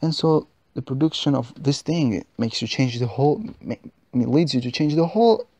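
A non-native accent at a moderate pace. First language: not English. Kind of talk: religious podcast reflection.

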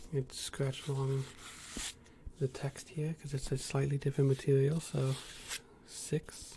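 A soft-spoken man at a moderate pace, with long, frequent pauses and light background noise. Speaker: ASMR creator. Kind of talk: ASMR soft-spoken talk to camera. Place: home room.

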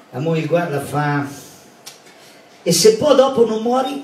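Over noticeable background noise, a man speaks fairly slowly with lively intonation. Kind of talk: joke telling in dialect.

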